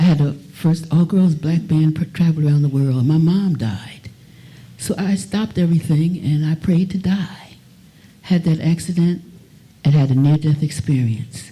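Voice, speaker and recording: A somewhat breathy woman with a very deep, low pitch and a dark, mellow tone speaks at a moderate pace with ordinary pitch variation and very even loudness. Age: 80s+. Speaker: singer. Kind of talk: testimony.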